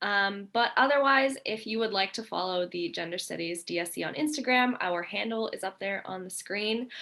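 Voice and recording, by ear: A woman with a bright, sharp tone and some vocal fry speaks at a moderate pace and medium pitch, with ordinary pitch variation.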